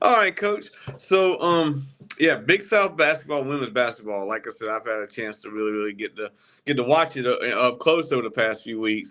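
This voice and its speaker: A man is speaking with lively intonation. His tone is bright and sharp. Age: 40s. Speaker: sports podcast host. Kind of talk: casual interview. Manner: halting, many fillers.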